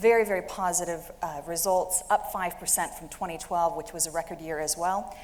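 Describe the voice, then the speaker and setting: A woman with an American accent speaks at a fairly quick pace in a fairly low pitch, with fairly even intonation, hardly any pauses, big swings in loudness and audible room echo. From United States. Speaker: industry analyst, managing director. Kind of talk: conference presentation.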